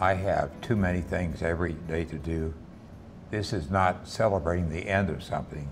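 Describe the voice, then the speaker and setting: A man with a very deep, low pitch speaks at a moderate pace and fairly even intonation, with audible room echo. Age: 80s+. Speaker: retiree. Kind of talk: documentary interview.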